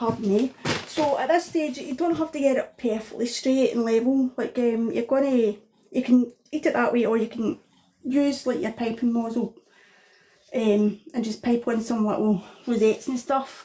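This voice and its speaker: A woman's high voice with a strong Scottish accent, a dark, mellow tone, ordinary pitch variation and a moderate pace. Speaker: home cook. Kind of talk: cooking tutorial. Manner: casual, hesitant with fillers.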